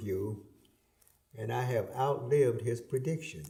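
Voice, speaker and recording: A man speaks at a fairly slow pace, his tone dark and mellow and somewhat breathy. Room echo is audible. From US South, Atlanta, Georgia. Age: 80s+. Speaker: retired politician. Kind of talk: interview.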